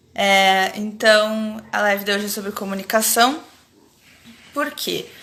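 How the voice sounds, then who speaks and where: Audible room echo surrounds a woman whose medium-pitched voice has a bright, sharp tone. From Rio Grande do Sul, Brazil (Alegrete). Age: 30s. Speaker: academic researcher, anthropologist. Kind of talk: casual live-stream chat. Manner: hesitant with pauses.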